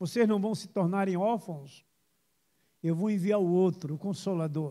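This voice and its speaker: At a moderate pace, a man speaks in a high pitch with a dark, mellow tone. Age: 60s. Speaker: pastor. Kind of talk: sermon.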